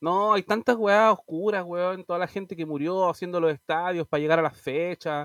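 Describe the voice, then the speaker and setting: A high-pitched man with a Chilean accent, ordinary pitch variation, and a dry, close sound with no echo against a quiet background. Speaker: podcast co-host. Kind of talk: casual chat.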